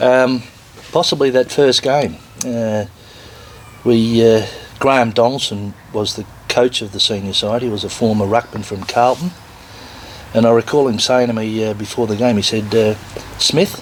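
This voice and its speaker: Leaving long, frequent pauses, a man with an Australian accent talks at a moderate pace with ordinary pitch variation over noticeable background noise. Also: medium pitch for a man. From Victoria, Australia (Melbourne). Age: 60s. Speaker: retired footballer and business owner. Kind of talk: interview.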